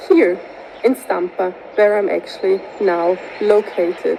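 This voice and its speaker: With a Swiss German accent, a woman speaks at a fairly slow pace and medium pitch with ordinary pitch variation over noticeable background noise. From Switzerland, Grisons canton. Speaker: tourism researcher. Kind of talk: recorded video presentation.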